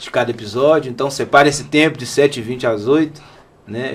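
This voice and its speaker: A man talks fairly quickly in a normal speaking voice, his intonation fairly even. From Belo Horizonte, Minas Gerais, Brazil. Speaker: podcast co-host. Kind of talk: podcast conversation.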